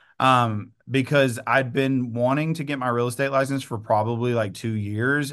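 A man speaks with fairly even intonation and an East Texas accent against a quiet background. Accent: East Texas Southern US. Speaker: real estate agent and coach. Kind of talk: interview conversation.

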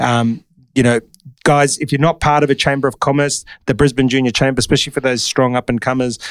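With an Australian accent, a man talks very fast with fairly even intonation. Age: 40s. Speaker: podcast host. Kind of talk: casual interview.

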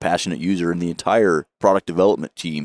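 A man at a fairly quick pace, in a very clean recording with a silent background and a dry, close sound with no echo. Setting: live at convention.

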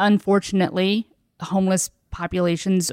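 In a plain, everyday voice, a woman with an American accent speaks at medium pitch with fairly even intonation, the sound dry and close with no echo and the background silent in a very clean recording. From rural southern Indiana. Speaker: city market director. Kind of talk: casual interview chat.

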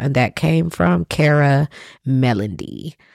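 On a very clean recording with a silent background, a woman speaks with a very deep, low voice. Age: 30s. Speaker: podcast host and sex educator. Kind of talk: solo podcast monologue. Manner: casual, with frequent filler words.

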